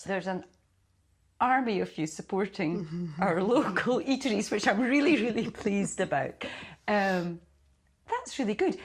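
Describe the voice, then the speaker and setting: This woman's voice is somewhat breathy, with a medium pitch and lively intonation, moving at a moderate pace. She takes long, frequent pauses against a quiet background. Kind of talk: casual podcast conversation.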